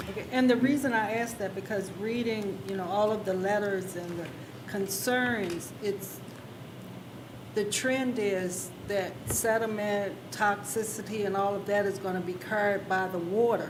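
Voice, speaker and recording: Speech comes at a fairly slow pace with fairly even intonation, with audible room echo and noticeable background noise. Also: woman, medium pitch for a woman. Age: 70s. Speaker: planning commissioner. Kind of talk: public meeting discussion. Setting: county planning commission meeting.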